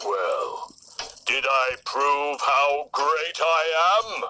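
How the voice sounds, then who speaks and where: This is a man doing a put-on character voice at a fairly high pitch. He speaks at a very slow pace. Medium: read story. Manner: blustering, boastful.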